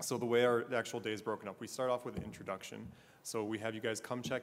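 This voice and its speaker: This man's delivery comes out at a very fast pace. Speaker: pharmacy school recruiter. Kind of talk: panel talk.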